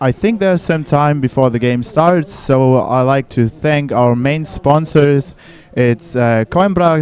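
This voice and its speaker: A man with a German accent speaks at a fairly high pitch and a fairly slow pace, with ordinary pitch variation. The sound is dry and close, with no echo. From Germany. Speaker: sports commentator. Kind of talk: live commentary.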